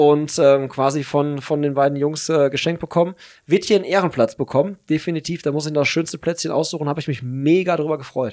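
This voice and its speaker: On a very clean recording with a silent background, a man with an ordinary speaking voice talks at a fairly quick pace, fairly high in pitch, with fairly even intonation. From Hagen, Germany. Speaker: podcast host. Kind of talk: casual chat.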